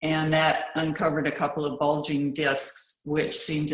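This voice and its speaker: Speaking at a moderate pace, a woman has a very deep, low pitch. Audible room echo is heard. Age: 60s. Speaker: patient panelist. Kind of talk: panel talk.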